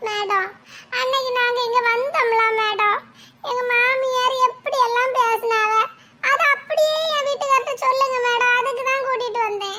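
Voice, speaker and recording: A woman uses a cartoonish character voice at an extremely high pitch. She speaks at a fairly slow pace with fairly even intonation. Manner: complaining, quick-tongued.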